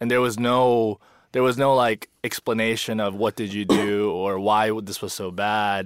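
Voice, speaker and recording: In a very clean recording with a silent background, a man with a plain, everyday voice speaks at a fairly slow pace, fairly low in pitch and with fairly even intonation. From USA, Korean-born, raised in America from age five. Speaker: pastor. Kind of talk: casual chat.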